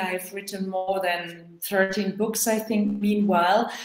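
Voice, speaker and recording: A woman talks with a non-native accent. Her pace is fairly slow. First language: not English. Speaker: author. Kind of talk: online panel discussion. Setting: video call.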